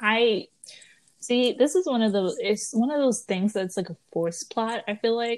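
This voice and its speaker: In a plain, everyday voice, a woman speaks at a fairly slow pace with a fairly high pitch and lively intonation. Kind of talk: casual chat.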